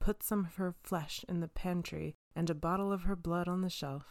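With a normal speaking voice, a woman talks at a moderate pace in a fairly low pitch with fairly even intonation. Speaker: podcast storyteller. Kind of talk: fairy-tale narration. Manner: wry, cheeky commentary.

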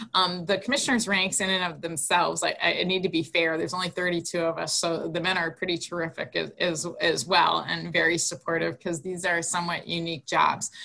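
A woman's fairly low voice, fairly even in intonation, at a fairly quick pace with hardly any pauses, over noticeable background noise. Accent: American. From Wisconsin (Green Bay). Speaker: college athletics conference commissioner. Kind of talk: interview.

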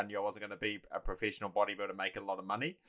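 The voice carries a New Zealand accent. Its tone is bright and sharp. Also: man. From New Zealand, Taranaki. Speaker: personal trainer and bodybuilding coach. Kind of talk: casual chat.

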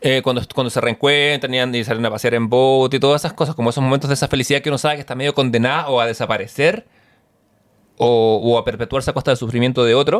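A man with a Chilean accent, medium-pitched, talking very fast with fairly even intonation. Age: 40s. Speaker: podcast co-host. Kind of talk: casual chat.

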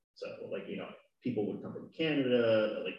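The pace of this man's speech is fairly quick. He talks with an American accent. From California. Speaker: guest, boyfriend of host. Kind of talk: casual chat. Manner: shy, quiet, soft-spoken.

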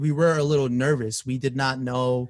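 A man with an American accent talks at a moderate pace and medium pitch in an ordinary speaking voice. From Queens, New York. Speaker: music producer. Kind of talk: casual chat.

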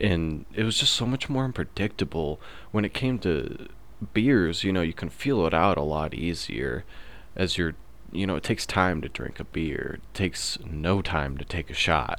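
A man talks at a moderate pace with a very deep, low pitch and vocal fry. His pitch swings very widely. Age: 20s. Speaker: podcast host. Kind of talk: casual monologue.

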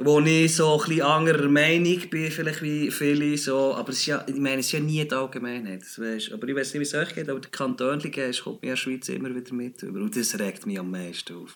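In a Bernese accent, the speaker uses lively intonation and hardly any pauses. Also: man, fairly high pitch for a man. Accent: Bernese Swiss German. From Bern, Switzerland. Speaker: music industry employee. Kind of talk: casual chat. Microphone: unstable internet connection.

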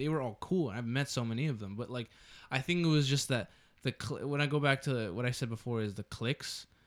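With an American accent, a man uses an unremarkable speaking voice at a medium pitch, a fairly quick pace and ordinary pitch variation, in a very clean recording with a silent background. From Texas. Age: young. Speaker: podcast co-host. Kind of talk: casual chat.

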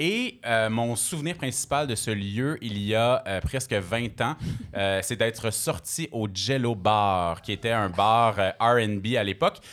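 On a very clean recording with a silent background, a man speaks at a very slow pace. His pitch is medium with ordinary variation. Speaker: radio host and DJ. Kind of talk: casual chat. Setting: stage with audience.

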